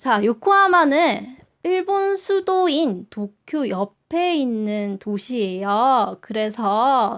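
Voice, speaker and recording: A woman with a Busan accent speaks in a relaxed tone. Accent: Busan dialect (Gyeongsang). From South Korea, Busan. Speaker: high school Japanese teacher. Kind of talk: recorded online class orientation. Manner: filler-heavy, relaxed (many 자, 어, 음).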